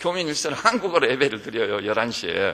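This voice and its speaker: With noticeable noise in the background, a man's pitch swings very widely as he talks at a moderate pace. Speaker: pastor. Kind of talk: sermon. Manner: animated.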